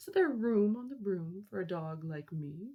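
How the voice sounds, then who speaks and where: The lines come at a moderate pace in a put-on character voice. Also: woman, medium pitch for a woman. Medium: read story.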